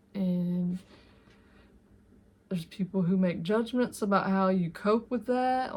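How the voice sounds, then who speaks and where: A woman's fairly slow, somewhat breathy speech. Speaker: art and grief content creator. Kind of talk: casual tutorial monologue. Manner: halting, many fillers.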